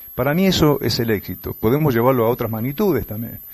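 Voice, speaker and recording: A man speaking with lively intonation. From Buenos Aires province, Argentina (Morón, western Greater Buenos Aires). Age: 60s. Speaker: tour guide and radio announcer. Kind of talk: radio interview. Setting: remote connection from another province.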